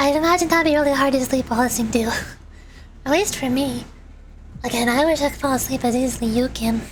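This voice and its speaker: Talking at a very fast pace yet with long, frequent pauses, a woman uses a high pitch and ordinary pitch variation over noticeable background noise. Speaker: vtuber streamer. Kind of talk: casual chat while gaming. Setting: livestream. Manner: soft-spoken.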